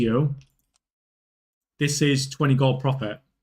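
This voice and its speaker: A man speaks at a fairly slow pace with fairly even intonation. His voice is somewhat breathy. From northern England. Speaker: gaming live streamer. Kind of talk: casual live stream chat while gaming. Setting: live stream.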